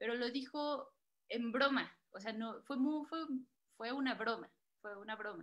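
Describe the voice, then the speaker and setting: Her high-pitched voice bright and sharp, a woman talks at a fairly slow pace with ordinary pitch variation against a quiet background. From Mexico, Guerrero roots. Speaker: moderator, editor; moderator. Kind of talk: storytelling; moderated panel. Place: home room. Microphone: video call.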